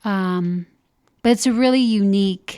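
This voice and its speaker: This is a very clean recording with a silent background. A woman speaks at a medium pitch. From Upper Midwest (Minnesota, North Dakota, Iowa). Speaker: senior living program director. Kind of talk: interview.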